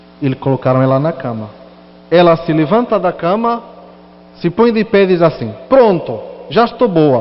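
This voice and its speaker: High-pitched male speech at a moderate pace, with very wide pitch swings and long, frequent pauses. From Portugal. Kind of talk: sermon with personal testimony.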